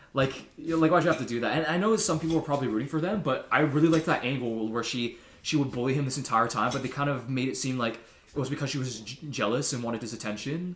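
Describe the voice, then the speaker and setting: A man talks at a very fast pace with ordinary pitch variation, and the room echo is audible. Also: medium pitch for a man. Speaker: podcast co-host. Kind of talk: casual chat.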